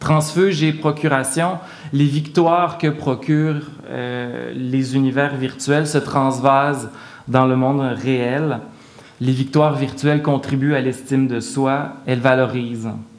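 A man's fairly high-pitched voice at a very slow pace, with fairly even intonation. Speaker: art historian and professor. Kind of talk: lecture. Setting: stage with audience. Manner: formal.

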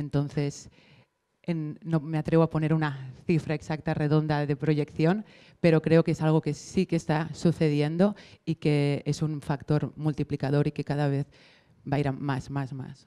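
Over a quiet background, a woman speaks at a fairly slow pace in a very deep, low pitch, with monotone, flat intonation and a dark, mellow tone. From Barcelona. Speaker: maker community manager; panelist. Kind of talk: panel discussion. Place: hall. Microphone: handheld.

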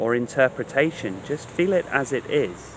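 A man speaks at a fairly slow pace in a soothing tone. Light background noise sits under a dry sound with no echo. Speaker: meditation teacher. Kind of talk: guided meditation, gentle spoken instruction to a listener. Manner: slow, soothing, compassionate cadence with repeated calming phrases; hesitant in places, repeating words mid-thought. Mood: calm, gentle, soothing. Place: garden. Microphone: phone near.

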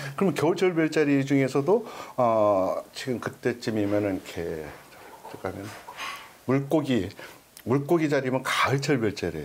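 Light background noise sits under a man's voice. He uses very wide pitch swings and takes long, frequent pauses. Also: moderate pace. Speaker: observatory director; guest. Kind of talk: casual interview chat. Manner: polite, formal. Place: meeting room. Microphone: lapel.

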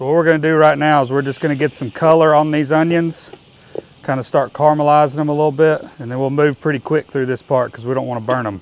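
Fast and fairly even in intonation, a man talks with a fairly high pitch.

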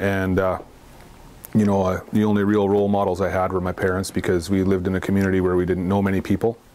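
In a very deep, low pitch and a dark, mellow tone, a man talks at a very fast pace with monotone, flat intonation and very even loudness. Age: 40s. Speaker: recovering alcoholic. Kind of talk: testimony. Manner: halting. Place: studio. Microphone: lapel.

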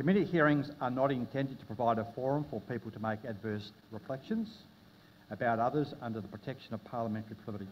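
With an Australian accent, the voice shows ordinary pitch variation over light background noise. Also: man. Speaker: committee chair. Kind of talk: parliamentary hearing. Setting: hearing room with public audience. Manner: formal; halting. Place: meeting room. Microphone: podium.

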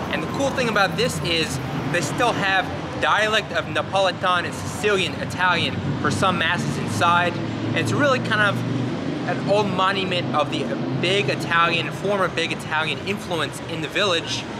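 Amid loud background noise, a man talks at a moderate pace with ordinary pitch variation. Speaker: tour guide. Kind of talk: tour guide commentary. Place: street.

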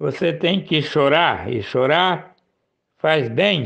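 Over a quiet background, a man talks at a very slow pace with a fairly high pitch and vocal fry. His intonation is lively. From Paraná, Brazil (Maringá). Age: 50s. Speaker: local news presenter. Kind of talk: news commentary show.

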